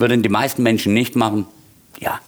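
A man speaks at a moderate pace. He has a Swabian accent. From Swabia, Heilbronn area, Germany. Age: 50s. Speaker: bar owner and bartender. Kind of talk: casual interview.

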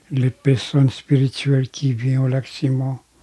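Very slow, somewhat breathy male speech with a dark, mellow tone and a dry, close sound with no echo. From Quebec, Grand Lac Victoria (Anishinabe). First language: Algonquin (Anishinabemowin) (speaking French). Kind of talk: testimony. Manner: halting.

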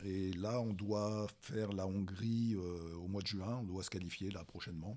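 This man's pitch is very deep and low. He speaks at a fairly slow pace. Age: 50s. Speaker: masters crossfit athlete. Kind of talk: casual chat. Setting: crossfit gym. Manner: halting.

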